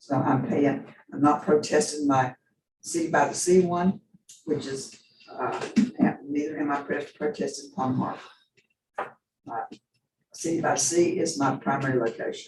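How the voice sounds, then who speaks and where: Somewhat breathy and fairly high-pitched, a man speaks with fairly even intonation and long, frequent pauses. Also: moderate pace. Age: 80s+. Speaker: property owner protesting tax appraisal. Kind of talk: testimony. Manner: rambling, halting.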